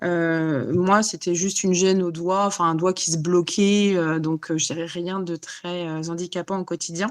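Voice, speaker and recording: A woman with a fairly low pitch, a fairly slow pace and monotone, flat intonation. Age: 40s. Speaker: life coach for autoimmune illness. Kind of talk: interview. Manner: halting, many fillers.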